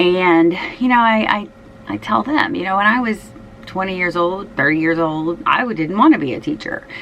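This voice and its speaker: Very wide pitch swings from a woman at medium pitch, a moderate pace, and noticeable background noise. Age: 50s. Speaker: fashion and shoe vlogger, schoolteacher. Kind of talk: casual personal vlog talk. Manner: hesitant, many fillers.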